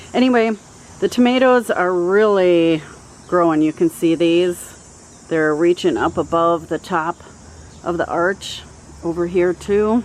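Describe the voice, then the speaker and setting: With an ordinary speaking voice, a woman talks at a fairly slow pace, her fairly low pitch showing ordinary pitch variation. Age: 50s. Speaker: gardening YouTuber. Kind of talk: garden tour vlog. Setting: outdoors in garden. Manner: casual, many filler words.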